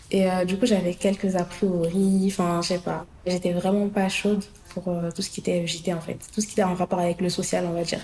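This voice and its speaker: A woman talks at a fairly quick pace in a medium pitch. Her intonation stays monotone and flat. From Paris suburbs (Hauts-de-Seine). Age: 20s. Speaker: young worker in social housing. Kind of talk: interview testimony. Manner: hesitant, many fillers.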